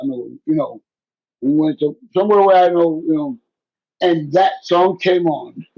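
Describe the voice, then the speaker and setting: A man speaks in a high pitch with a dark, mellow tone, ordinary pitch variation and a fairly slow pace. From Puerto Rico. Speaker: hip hop MC. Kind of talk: oral history interview.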